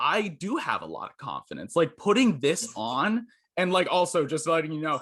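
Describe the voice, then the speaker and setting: A man's high-pitched, bright and sharp voice, loud and with lively intonation, over a quiet background. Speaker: journalist. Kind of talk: casual interview.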